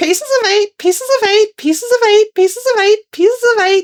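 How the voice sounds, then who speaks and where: A put-on character voice, squeaky and shrill, sits at an extremely high pitch. It moves along at a fairly quick pace. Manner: repeating the same phrase without pause, clacking like a tiny mill.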